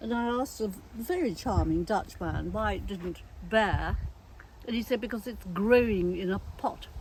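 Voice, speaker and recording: A woman talks with an English accent. Her pace is moderate. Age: 80s+. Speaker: gardener. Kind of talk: casual chat. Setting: outdoors. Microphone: sound sometimes bad from turning away.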